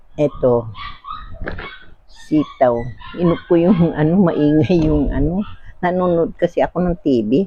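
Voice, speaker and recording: With noticeable background noise, a soft-spoken woman at a fairly low pitch speaks at a fairly slow pace, with ordinary pitch variation and long, frequent pauses. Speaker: vlogger. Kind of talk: casual cooking vlog.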